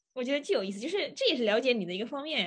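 The woman's voice sits high in pitch. Her intonation is lively. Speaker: PhD student. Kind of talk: casual chat.

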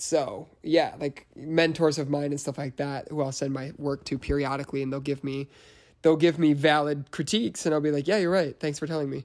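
Here a man talks with an American accent at a fairly quick pace. His pitch is fairly high and his intonation fairly even. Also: very clean recording, silent background. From US Midwest, Chicago area. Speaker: journalist. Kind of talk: casual chat. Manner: repeats words, halting starts.

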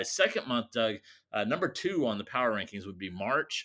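A man talks at a fairly quick pace with a bright, sharp tone, very wide pitch swings and vocal fry. The recording is very clean, with a silent background. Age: 40s. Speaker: podcast co-host. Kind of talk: casual chat.

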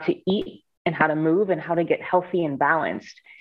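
A woman's fairly low, normal speaking voice with an American accent and ordinary pitch variation. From Ohio, US Midwest (Cleveland). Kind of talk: interview.

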